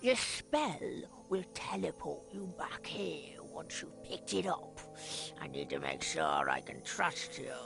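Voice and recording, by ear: A cartoonish character voice at a fairly slow pace against clear background noise.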